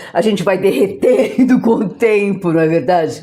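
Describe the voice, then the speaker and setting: Noticeable background noise behind a woman's moderately paced, lively intonation. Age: 60s. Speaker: podcast host. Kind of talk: casual chat. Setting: clinic visit. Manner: animated.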